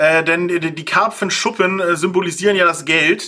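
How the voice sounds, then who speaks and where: A man's high-pitched, raised, projected voice at a fairly slow pace. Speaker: podcast host. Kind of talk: casual chat.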